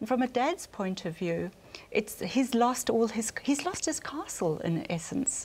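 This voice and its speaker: A woman with a slight South African accent, fairly high in pitch and fairly slow in pace, with very wide pitch swings. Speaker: family relationship counsellor. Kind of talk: panel discussion.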